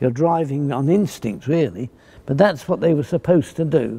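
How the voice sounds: The voice has a dark, mellow tone with a slightly husky edge, lively intonation and vocal fry. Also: man.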